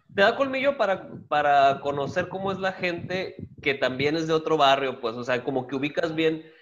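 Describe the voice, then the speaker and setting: A man's fairly high voice carries lively intonation at a moderate speed while noticeable noise runs in the background. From Guaymas, Sonora, Mexico. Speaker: stand-up comedian. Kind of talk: casual chat.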